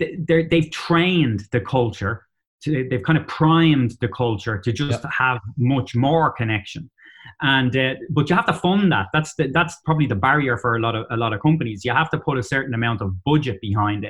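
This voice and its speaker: Lively intonation marks this man's Dublin accent. His pitch is medium and his pace moderate. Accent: Dublin Irish. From Ireland, Dublin. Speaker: company CEO. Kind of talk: interview. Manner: hesitant, many fillers.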